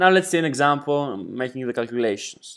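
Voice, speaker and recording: A man with a Greek accent speaks at a moderate pace and a fairly high pitch. His intonation is lively. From Greece. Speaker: exam prep tutor. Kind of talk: tutorial.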